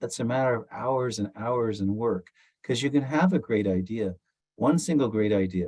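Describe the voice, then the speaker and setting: Against a quiet background, a man keeps a medium pitch and a moderate pace with ordinary pitch variation. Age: 60s. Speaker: musician, founding member of a rock band. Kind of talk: interview conversation. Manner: halting, with fillers and restarts.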